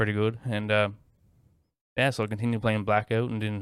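A man speaks fairly quickly at a fairly low pitch in a flat monotone. The recording is very clean, with a silent background. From small mining island community, Newfoundland, Canada. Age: 20s. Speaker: gaming streamer and sheet metal worker. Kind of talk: casual chat.

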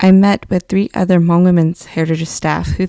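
Speaking at a very fast pace with a Californian accent, a woman has a fairly low pitch and a dark, mellow tone. Her intonation is fairly even, and the sound is dry and close with no echo. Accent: Californian American. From US, California (Fresno region). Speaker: community organizer. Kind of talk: personal storytelling, read aloud.

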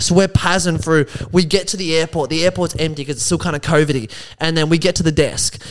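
A man talks at a very fast pace. He has an Australian accent. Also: fairly high pitch for a man, ordinary pitch variation. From Melbourne, Australia. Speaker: stand-up comedian. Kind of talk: casual chat.

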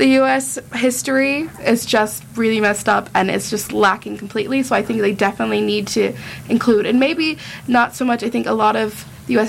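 Against noticeable background noise, a woman with an American accent speaks at a fairly quick pace with a fairly high pitch and lively intonation. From United States. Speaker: student guest. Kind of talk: casual chat. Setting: studio.

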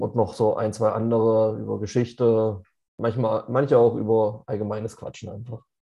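This man has an unremarkable speaking voice and talks at a fairly slow pace. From Leipzig, Saxony, Germany. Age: 30s. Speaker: podcast co-host and amateur American football player. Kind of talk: casual chat. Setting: studio, face to face.

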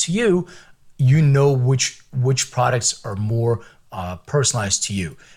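Somewhat breathy, a man speaks at a moderate pace with a medium pitch. His intonation is lively. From Philadelphia, US (immigrated from Lithuania at six). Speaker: biotech company CEO. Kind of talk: interview.

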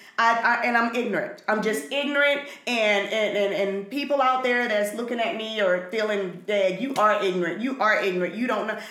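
Noticeable background noise runs under the recording. A woman with a fairly high pitch and ordinary pitch variation speaks at a moderate pace. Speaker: podcast co-host. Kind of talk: casual chat.

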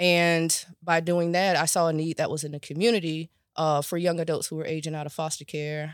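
A woman with an American accent talks at a fairly quick pace in a very deep, low pitch and a monotone, flat intonation, on a very clean recording with a silent background and a dry, close sound with no echo. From Florida, Riviera Beach. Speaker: mental health professional and coach. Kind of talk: casual interview.

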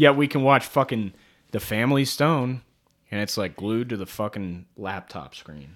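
With an unremarkable speaking voice, a man of medium pitch talks at a moderate pace with lively intonation and big swings in loudness, recorded very cleanly against a silent background. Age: 20s. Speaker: podcast co-host. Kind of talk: casual chat.

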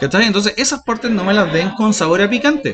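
Here a man is speaking. His pace is moderate. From Chile. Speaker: podcast co-host. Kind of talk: casual chat. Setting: in a shop.

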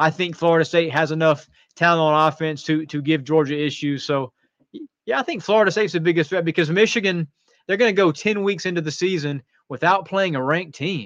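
A man with an American accent has an unremarkable speaking voice, a fairly high pitch with ordinary pitch variation, and a fairly quick pace. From North Carolina. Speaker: college football writer. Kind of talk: sports talk interview.

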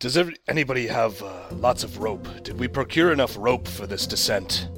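Over faint music in the background, a man does a put-on character voice at a medium pitch and a moderate pace. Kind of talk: formal, slightly archaic speech. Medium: actual play. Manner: fervent, commanding when praying.

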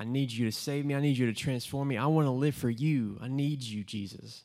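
In an ordinary speaking voice, a man with an American accent talks at a moderate pace in a medium pitch with ordinary pitch variation. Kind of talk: testimony. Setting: church gathering with audience.

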